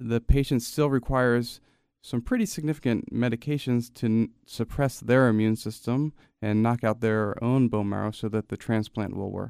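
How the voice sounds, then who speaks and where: A man with a normal speaking voice talks at a moderate pace, with a medium pitch and ordinary pitch variation. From New Jersey, Gloucester City. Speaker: fetal surgeon and researcher. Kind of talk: interview. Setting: studio.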